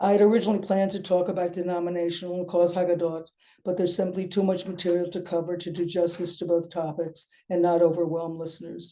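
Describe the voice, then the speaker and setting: A woman speaks at a very fast pace in a fairly low pitch, her tone dark and mellow and her intonation monotone and flat. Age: 80s+. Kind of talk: lecture. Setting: webinar. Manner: formal.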